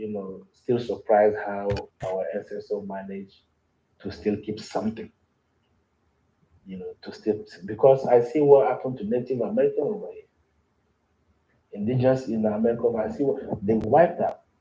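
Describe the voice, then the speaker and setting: A man's medium-pitched, somewhat breathy voice with a dark, mellow tone and a non-native accent, at a moderate pace with ordinary pitch variation, big swings in loudness and long, frequent pauses. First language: not English. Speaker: cultural knowledge keeper. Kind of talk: interview.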